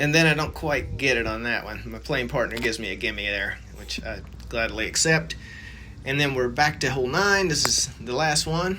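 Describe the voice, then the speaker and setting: Over noticeable background noise and audible room echo, the man talks at a moderate pace in an American accent. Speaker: amateur golf vlogger. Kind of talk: casual vlog voiceover commentary. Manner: relaxed, conversational.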